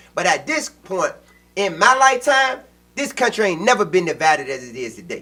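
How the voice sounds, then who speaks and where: A man talks at a fairly quick pace in a raised, projected voice, his high pitch swinging very widely with a bright, sharp tone. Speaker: podcast co-host. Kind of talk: casual political discussion. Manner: loud, passionate.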